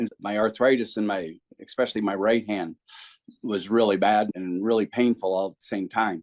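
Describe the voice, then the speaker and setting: This man has an unremarkable speaking voice, fairly low in pitch, with fairly even intonation at a moderate pace. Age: 60s. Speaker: patient, BMX racer and preacher. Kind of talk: interview.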